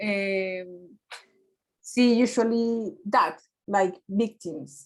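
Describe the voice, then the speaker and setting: A woman in a Spanish accent talks at a very slow pace with ordinary pitch variation. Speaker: research student. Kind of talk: seminar discussion. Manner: halting.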